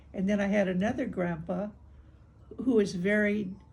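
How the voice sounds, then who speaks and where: A woman talks at a medium pitch, her voice somewhat breathy. Room echo can be heard around her. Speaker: older woman recounting family history. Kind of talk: oral history interview. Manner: halting.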